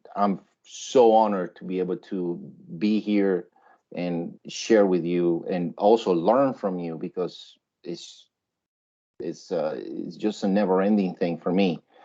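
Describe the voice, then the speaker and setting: A man with a Spanish accent, fairly low in pitch, dark and mellow in tone, at a fairly slow pace with fairly even intonation, over a quiet background. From Colombia. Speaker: web and UX designer, teacher. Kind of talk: workshop presentation. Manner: conversational, with many fillers.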